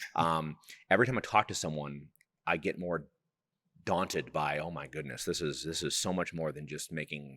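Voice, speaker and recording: A man with a very deep, low pitch and vocal fry speaks in a bright, sharp tone, leaving long, frequent pauses. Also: ordinary pitch variation, moderate pace. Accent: American. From Wisconsin. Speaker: podcast host. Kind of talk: casual interview.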